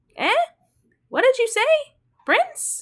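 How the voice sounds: A woman puts on a character voice at an extremely high pitch. It comes out squeaky and croaky.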